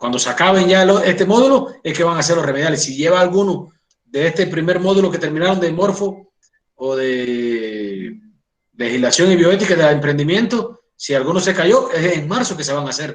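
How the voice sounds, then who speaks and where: Here a man speaks at a high pitch and moderate pace, with lively intonation. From Cuba. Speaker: doctor and college lecturer. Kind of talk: lecture. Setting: online class.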